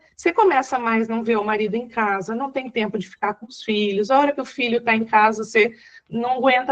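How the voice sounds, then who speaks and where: A woman's fairly high voice at a moderate pace. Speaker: psychologist, webinar speaker. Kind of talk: webinar talk. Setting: online webinar.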